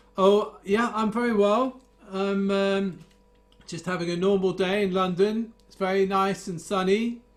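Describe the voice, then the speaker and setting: A man with a high pitch and monotone, flat intonation, a fairly slow pace, big swings in loudness, and noticeable background noise. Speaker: guitar teacher. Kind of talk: casual chat. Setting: video call.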